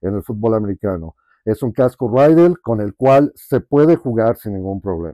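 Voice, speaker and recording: In a dry recording with no echo and a quiet background, a man talks at a moderate pace. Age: 50s. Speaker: sports fan and collector. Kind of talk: casual testimony. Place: home room. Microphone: lapel.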